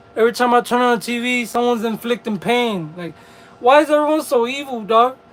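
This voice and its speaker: Over noticeable background noise, a man with an extremely high pitch and ordinary pitch variation talks at a very fast pace. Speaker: livestreamer. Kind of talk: casual livestream chat.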